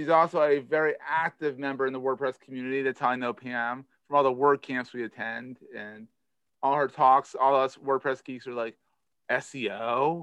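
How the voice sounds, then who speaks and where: A man with a Philadelphia accent talks at a medium pitch and moderate pace, with fairly even intonation and big swings in loudness, in a dry, close sound with no echo against a quiet background. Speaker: podcast host. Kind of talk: casual interview chat.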